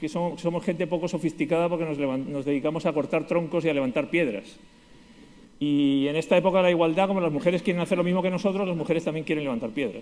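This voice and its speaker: Someone speaks at a very fast pace with a Spanish accent. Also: man. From Spain, Basque Country (San Sebastián). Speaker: conference speaker, lawyer. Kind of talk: conference talk.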